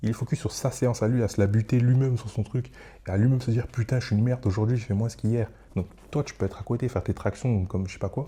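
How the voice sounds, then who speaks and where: A man's somewhat breathy voice races along at a very fast pace, its intonation fairly even. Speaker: solo podcaster / content creator. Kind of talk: casual monologue. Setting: at home at night. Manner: rambling, hesitant with many fillers. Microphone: close microphone.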